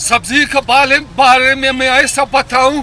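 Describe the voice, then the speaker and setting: Crowd noise fills the background as a man speaks in a raised, projected voice. His pitch is extremely high and his tone animated. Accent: Pashto. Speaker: vegetable vendor. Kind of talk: street interview, comic. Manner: animated, emphatic.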